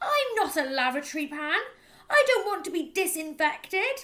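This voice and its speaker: A put-on character voice comes through loud and at an extremely high pitch. The pace is moderate. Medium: read story. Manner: loud, blustering.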